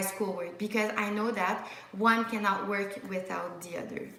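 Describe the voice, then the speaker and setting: In a Quebec accent, a woman talks at a fairly slow pace over noticeable background noise, with audible room echo. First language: French. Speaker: medical student YouTuber. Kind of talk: live Q&A stream. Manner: casual, frequent fillers and restarts.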